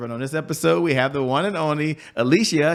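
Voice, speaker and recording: A man talks at a moderate pace in an upbeat, energetic tone. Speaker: podcast and show host. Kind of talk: talk show host intro and interview.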